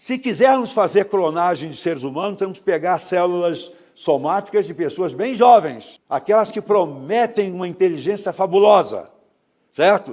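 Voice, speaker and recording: In a very clean recording against a silent background, the pitch varies in an ordinary way. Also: man, high pitch for a man, moderate pace. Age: 70s. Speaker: lecturer. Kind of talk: lecture. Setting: auditorium with audience.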